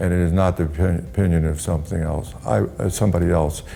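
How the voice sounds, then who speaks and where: With fairly even intonation, a man speaks at a very deep, low pitch while audible room echo surrounds him. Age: 60s. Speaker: pharmaceutical industry veteran, health website owner. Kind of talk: interview. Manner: halting.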